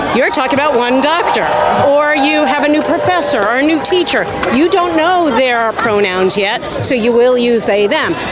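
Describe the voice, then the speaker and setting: Amid crowd noise and audible room echo, a high-pitched woman talks at a moderate pace with lively intonation. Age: 60s. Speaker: teacher at a rally. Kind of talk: street interview.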